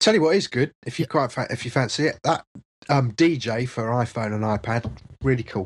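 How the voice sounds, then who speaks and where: Medium in pitch, a man speaks at a moderate pace with ordinary pitch variation and a somewhat breathy quality. The sound is dry and close, with no echo. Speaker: software developer. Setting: video call.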